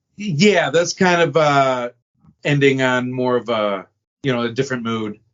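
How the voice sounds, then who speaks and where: The speech comes at a fairly slow pace, with lively intonation. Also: man, medium pitch for a man. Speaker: guitarist and songwriter. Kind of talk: casual chat. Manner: halting.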